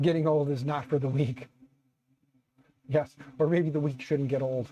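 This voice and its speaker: Fairly high-pitched male voice, dark and mellow in tone and somewhat breathy, with monotone, flat intonation at a moderate pace. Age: 40s. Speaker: YouTube 3D printing streamer. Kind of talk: casual live stream chat. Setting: live stream with webcam. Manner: conversational, relaxed.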